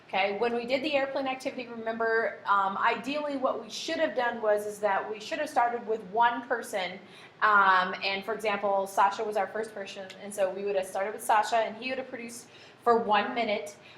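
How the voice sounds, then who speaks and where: Amid audible room echo and noticeable background noise, a woman speaks at a fairly quick pace with a fairly high pitch and ordinary pitch variation. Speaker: high school economics teacher. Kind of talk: tutorial.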